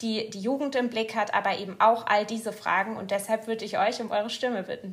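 A fairly quick pace and a flat, monotone delivery. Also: woman. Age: 20s. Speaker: politician. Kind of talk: interview. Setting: studio.

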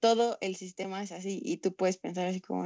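A woman with a plain, everyday voice speaks at a moderate pace, her medium pitch carrying fairly even intonation. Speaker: environmental nonprofit founder. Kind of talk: casual chat.

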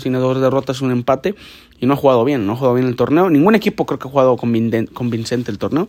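This man's voice sits at a medium pitch. He talks at a very fast pace. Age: 20s. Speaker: football podcast host. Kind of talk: casual sports commentary podcast. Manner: halting, many repetitions and restarts.

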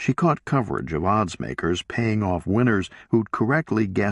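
It is an unforced reading voice. The pitch shows ordinary variation.

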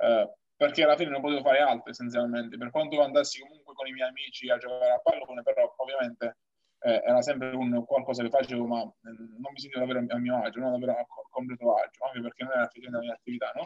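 A man's very fast speech in a monotone, flat intonation. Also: medium pitch for a man, big swings in loudness. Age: 20s. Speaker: Paralympic powerlifter. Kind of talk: interview. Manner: halting.

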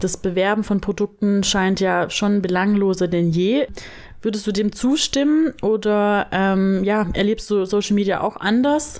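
In an unremarkable speaking voice, a woman talks at a fairly slow pace with ordinary pitch variation and very even loudness, captured in a very clean recording with a silent background. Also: medium pitch for a woman. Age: 20s. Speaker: podcast host, copywriter. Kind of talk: casual chat. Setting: sitting on a bed at home.

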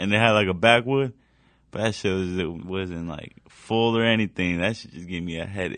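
Against a quiet background, a man with a normal speaking voice talks at a moderate pace. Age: 20s. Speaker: rapper. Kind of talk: casual chat.

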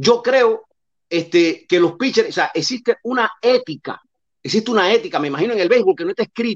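Here a man talks at a fairly quick pace. His voice is extremely high in pitch and swings very widely. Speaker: caller. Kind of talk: casual chat.

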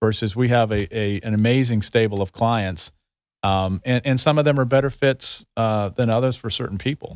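Heard on a very clean recording with a silent background and a dry, close sound with no echo, a man talks in an unremarkable speaking voice at a moderate pace with ordinary pitch variation. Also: medium pitch for a man. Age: 50s. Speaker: recruiter. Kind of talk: casual interview.

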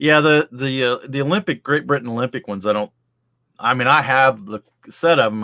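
With a normal speaking voice, a man talks fairly quickly at a medium pitch with lively intonation. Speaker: podcast host. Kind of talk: casual chat.

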